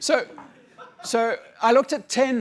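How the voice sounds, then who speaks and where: With a South African accent, a man is heard on a very clean recording over a silent background. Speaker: conference speaker, researcher. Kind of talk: conference talk. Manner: halting, many repetitions and fillers.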